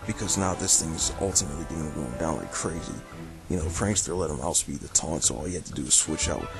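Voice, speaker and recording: The speech moves at a very fast pace over music in the background. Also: man, very deep, low pitch for a man, ordinary pitch variation. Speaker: video game battle commentator. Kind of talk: game commentary narration. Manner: casual.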